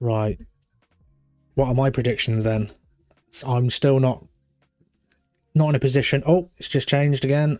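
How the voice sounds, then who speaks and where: A man's medium-pitched voice in a British accent, at a moderate pace. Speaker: live streamer. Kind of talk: live stream chat with viewers. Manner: calm.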